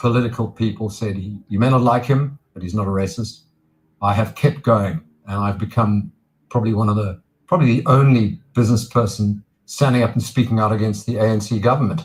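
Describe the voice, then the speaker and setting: A man with a medium-pitched, somewhat breathy voice and ordinary pitch variation is heard on a very clean recording with a silent background. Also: fairly quick pace. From South Africa. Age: 60s. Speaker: businessman and political activist. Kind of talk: interview.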